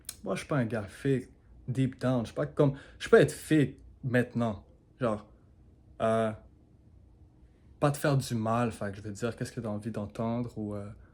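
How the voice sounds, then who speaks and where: A man with a Quebec accent, medium pitch, big swings in loudness and long, frequent pauses, in a very clean recording with a silent background. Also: ordinary pitch variation, moderate pace. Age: 20s. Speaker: marketing agency owner, vlogger. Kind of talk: casual vlog monologue. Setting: alone in his living room at home. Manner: casual, mixes English into French.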